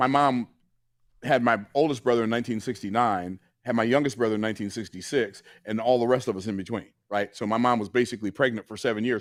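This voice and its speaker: A man with an American accent at a very fast pace, medium pitch and ordinary pitch variation, in a very clean recording with a silent background. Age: 60s. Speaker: business coach and entrepreneur. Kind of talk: interview.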